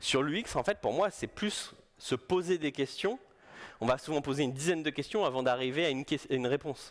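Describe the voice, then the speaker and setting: A man speaks at a fairly quick pace with a fairly high pitch and ordinary pitch variation. The recording is very clean, with a silent background. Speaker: UX designer, conference speaker. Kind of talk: conference talk. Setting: stage with audience. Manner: fast; casual, hesitant with repetitions.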